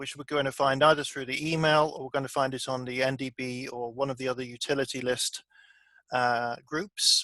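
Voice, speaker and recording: The tone is bright and sharp. The speaker has a British accent. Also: man. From Britain. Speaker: software developer and trainer. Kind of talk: online training session.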